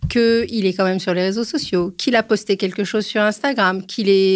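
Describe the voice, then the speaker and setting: The pitch of this woman's voice is fairly high. She keeps a moderate speed. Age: 60s. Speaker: psychoanalyst and author. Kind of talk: podcast interview. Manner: animated.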